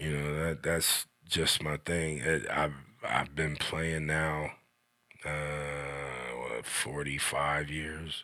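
Speaking very slowly in an American accent, a man uses a very deep, low pitch, a bright, sharp tone and monotone, flat intonation. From Xenia, Ohio, US Midwest. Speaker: drummer. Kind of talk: casual interview.

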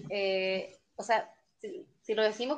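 Pitched fairly high, a woman talks in an unremarkable speaking voice with ordinary pitch variation. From Chile, Concepción. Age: 20s. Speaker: fan club leader. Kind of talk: casual chat.

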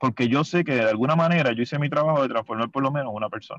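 The speech runs at a very fast pace with ordinary pitch variation against a quiet background. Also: man. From Puerto Rico, Mayagüez. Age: 40s. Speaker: water polo coach. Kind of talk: casual interview.

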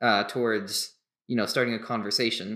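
A man's bright, sharp voice sits at medium pitch, moving at a moderate pace with fairly even intonation. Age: young. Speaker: podcast co-host. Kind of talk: casual panel discussion. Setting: video call.

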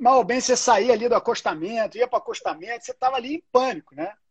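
A man speaks with a Carioca accent. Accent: carioca Brazilian Portuguese. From Rio de Janeiro, Brazil. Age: 40s. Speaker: entertainment business executive. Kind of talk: casual interview.

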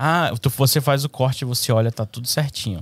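The recording is very clean with a silent background, carrying a normal speaking voice at a moderate pace with ordinary pitch variation. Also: man. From Brazil, Manaus, Amazonas. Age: 20s. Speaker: barber. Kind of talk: casual chat.

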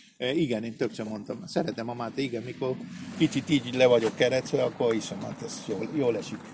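Over noticeable background noise, a man with a Spanish accent talks at a very fast pace and medium pitch, his pitch varying in an ordinary way. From Argentina, Buenos Aires. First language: Spanish (speaking Hungarian). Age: 60s. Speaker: chef. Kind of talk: casual chat. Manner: halting.

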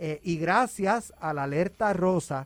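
This man's pitch varies in an ordinary way. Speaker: news director. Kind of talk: news report.

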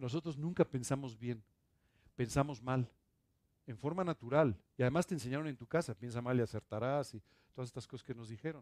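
Long, frequent pauses break up a man's fairly quick speech, delivered at a medium pitch with ordinary variation. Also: big swings in loudness. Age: 60s. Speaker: pastor. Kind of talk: sermon.

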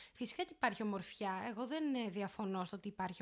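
Her voice rests at a medium pitch, and the woman's pitch varies in an ordinary way. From Greece, Syros. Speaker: law student. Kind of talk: casual chat. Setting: home recording.

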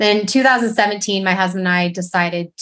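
A woman talks at a medium pitch with fairly even intonation. She has an ordinary speaking voice. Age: 40s. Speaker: running coach. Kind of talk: casual chat.

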